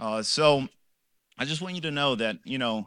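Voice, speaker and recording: A man's medium-pitched voice with a bright, sharp tone at a moderate pace, in a very clean recording with a silent background. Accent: American. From Los Angeles, California. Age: 30s. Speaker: professor giving a faith testimony. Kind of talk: testimony. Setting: church men's group gathering with microphone. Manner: unscripted, conversational.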